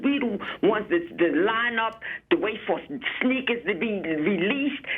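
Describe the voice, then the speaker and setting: Music plays in the background as a woman speaks at a moderate pace. Her voice is fairly high-pitched, with lively intonation. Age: 60s. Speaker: caller, retired city worker. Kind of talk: call-in comment. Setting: phone call.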